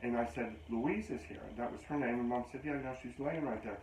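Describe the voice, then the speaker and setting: In a room with audible echo and noticeable background noise, a man with an American accent speaks at a medium pitch with ordinary pitch variation. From western Pennsylvania. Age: 60s. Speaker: psychic medium. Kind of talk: interview. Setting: studio.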